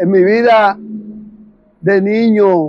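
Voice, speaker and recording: Music sounds in the background. A man talks at a high pitch. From Dominican Republic, Santo Domingo (Guachupita). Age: 60s. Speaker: witness to 1965 civil war. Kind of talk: interview testimony.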